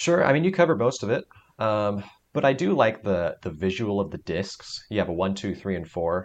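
Here is a man with a plain, everyday voice. He talks at a fairly quick pace with lively intonation. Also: fairly low pitch for a man. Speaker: podcast co-host. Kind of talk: casual chat. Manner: joking, playful.

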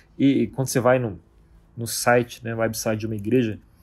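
A somewhat breathy man speaks at a moderate pace on a very clean recording with a silent background. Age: 40s. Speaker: podcast host on Bible study. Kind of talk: solo podcast teaching monologue. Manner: casual, with frequent fillers.

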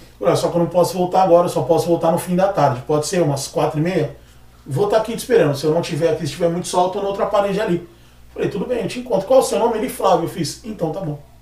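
Against noticeable background noise, a man speaks very fast in a high voice. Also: ordinary pitch variation. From Brazil, Praia Grande (São Paulo coast). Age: 30s. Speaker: barber. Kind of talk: casual chat.

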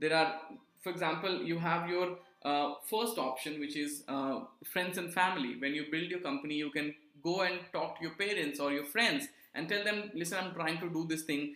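There is audible room echo as a man speaks at a moderate pace, his pitch fairly high with ordinary variation. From India, Jharkhand. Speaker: startup mentor. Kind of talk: interview.

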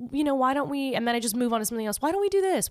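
A woman talks at high pitch with very wide pitch swings. The recording is very clean with a silent background. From Southern California (La Puente). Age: 20s. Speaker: comedian and podcaster. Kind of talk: casual chat.

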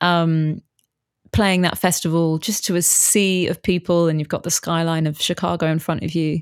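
A woman with a British accent talks at a moderate pace, her pitch fairly low and her intonation flat and monotone. The recording is very clean, with a silent background. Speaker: bass player and musician, bass teacher, new podcaster. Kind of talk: casual interview chat.

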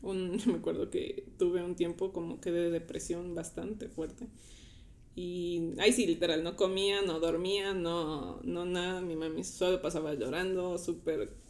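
A woman's normal speaking voice, fairly low in pitch, at a fairly slow pace with fairly even intonation. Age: 20s. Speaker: church volunteer. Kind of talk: casual chat.

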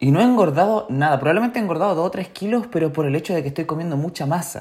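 A man with a fairly high pitch and a Chilean accent, at a very fast pace with lively intonation. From Chile, Chillán. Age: 20s. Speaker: podcaster. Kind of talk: casual monologue. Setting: alone at home.

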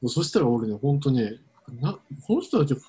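A man speaks with lively intonation. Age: 30s. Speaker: podcast co-host. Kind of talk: casual chat. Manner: halting.

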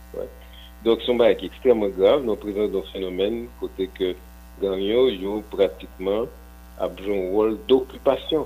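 A man at a moderate pace, with long, frequent pauses and music in the background. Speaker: economist and professor. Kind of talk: radio interview.

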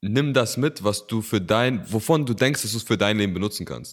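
Recorded very cleanly against a silent background, a man speaks in an ordinary speaking voice at a moderate pace and medium pitch with ordinary pitch variation. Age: 20s. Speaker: podcast co-host. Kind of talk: casual chat. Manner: casual, with many filler words.

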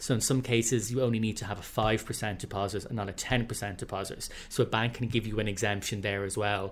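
The delivery moves at a very fast pace. Intonation stays fairly even. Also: man. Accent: Irish. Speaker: head of communications, prospective homebuyer. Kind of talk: casual chat.

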